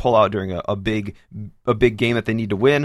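The recording is very clean, with a silent background. A man talks very fast with fairly even intonation. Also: dry, close sound with no echo. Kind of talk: casual sports show chat.

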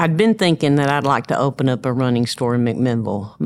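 Recorded very cleanly against a silent background, a woman speaks at a very deep, low pitch with ordinary pitch variation. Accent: Tennessee. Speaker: running store owner. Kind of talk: interview.

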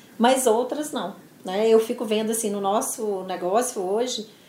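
Delivered at a fairly slow pace with ordinary pitch variation, the speech carries audible room echo. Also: woman. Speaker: business executive. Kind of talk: interview.

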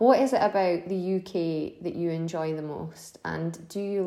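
A woman with a normal speaking voice talks at a fairly slow pace. Her pitch is fairly low and her intonation fairly even. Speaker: podcast host, regional manager. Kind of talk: interview, polite.

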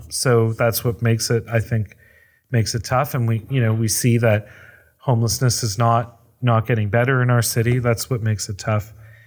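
Man's somewhat breathy voice at medium pitch, moderate pace and fairly even intonation, on a very clean recording with a silent background. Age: 40s. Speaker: housing nonprofit executive director. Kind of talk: interview.

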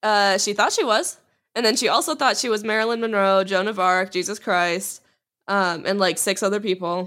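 A woman speaks in an animated tone at a moderate pace. Her voice is bright and sharp. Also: medium pitch for a woman, ordinary pitch variation, very clean recording, silent background. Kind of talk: casual chat.

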